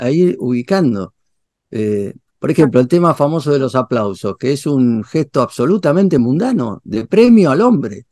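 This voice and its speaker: The speech moves at a fairly slow pace with very wide pitch swings. The sound is dry and close, with no echo. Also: man. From Argentina. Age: 60s. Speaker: theology and philosophy professor. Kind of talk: interview. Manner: hesitant, many fillers and repetitions.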